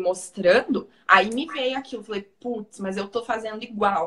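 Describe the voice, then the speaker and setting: A woman speaks with a strong Paraná accent. Her pitch is fairly high and her pace moderate. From Paraná, Brazil. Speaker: physiotherapist and holistic therapist. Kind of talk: interview / personal testimony.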